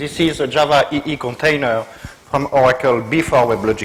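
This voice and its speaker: A man's fairly high voice with a French accent, at a moderate pace with ordinary pitch variation. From Brittany, northwest France. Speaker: technical evangelist. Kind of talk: tech talk to meetup audience.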